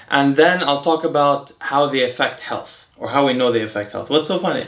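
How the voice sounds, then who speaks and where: A man with an American accent and a fairly high pitch speaks at a fairly quick pace with ordinary pitch variation, noticeable background noise behind him. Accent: American accent when saying French words. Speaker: health and longevity YouTuber. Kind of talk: casual educational chat. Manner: casual with many fillers and restarts.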